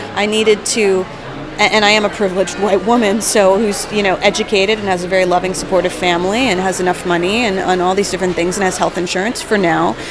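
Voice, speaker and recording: A woman's medium-pitched voice in an American accent, very fast and monotone with flat intonation, against noticeable background noise. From New Jersey. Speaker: comedian and writer. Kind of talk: interview. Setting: studio.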